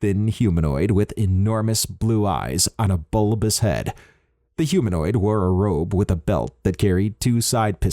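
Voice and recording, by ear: Reading aloud in a natural voice, with fairly even intonation over a quiet background.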